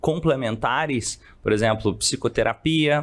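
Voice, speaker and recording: An unremarkable speaking voice from a man, moderate in pace, with ordinary pitch variation. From Brazil, Minas Gerais (São Gotardo). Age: 30s. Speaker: psychologist and coach. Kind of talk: podcast interview.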